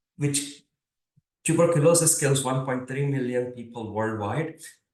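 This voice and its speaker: A man with an Indian accent speaks at a moderate pace and a fairly high pitch. His pitch varies in an ordinary way, and audible room echo is present. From India, Mumbai. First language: Marathi. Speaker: computer science professor. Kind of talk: lecture.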